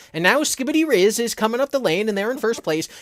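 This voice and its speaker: A put-on character voice rattles along at a very fast pace with a fairly high pitch. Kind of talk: old-timey broadcast.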